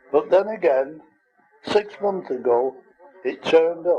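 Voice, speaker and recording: Lively intonation at a very slow pace over music in the background. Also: man. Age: 80s+. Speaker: goldfish breeder. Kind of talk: informal talk to camera.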